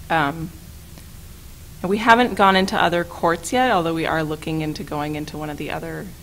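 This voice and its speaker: A woman's fairly low voice with lively intonation, long, frequent pauses and audible room echo. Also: fairly quick pace, big swings in loudness. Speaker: staff attorney and legal trainer. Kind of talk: training presentation.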